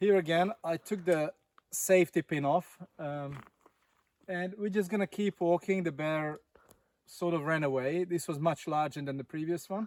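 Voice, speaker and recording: A man's high voice with fairly even intonation and long, frequent pauses, in a dry, close sound with no echo. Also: moderate pace. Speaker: travel vlogger. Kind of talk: casual vlog narration; scripted narration. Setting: outdoors. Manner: loud.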